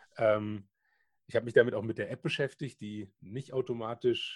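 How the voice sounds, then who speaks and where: A man talks at a fairly slow pace in a somewhat breathy voice. His pitch varies in an ordinary way. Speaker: podcast co-host. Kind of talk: casual chat. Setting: remote recording over the internet. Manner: halting, many fillers.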